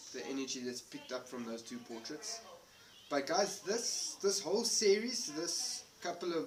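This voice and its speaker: Over music in the background, a man with a high pitch makes very wide pitch swings and big swings in loudness, with audible room echo. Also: moderate pace. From South Africa. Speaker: paranormal investigator. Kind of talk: casual chat. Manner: halting.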